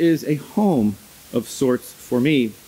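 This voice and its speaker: A man talks while noticeable background noise carries on behind him. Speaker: immigration lawyer and organization director. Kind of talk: conference opening remarks. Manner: loud.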